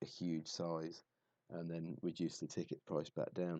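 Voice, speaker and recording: A man speaks at a moderate pace in a very deep, low voice with a dark, mellow tone. The sound is dry and close, with no echo. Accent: southern English. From southern England. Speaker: football streamer. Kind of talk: live stream commentary. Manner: halting.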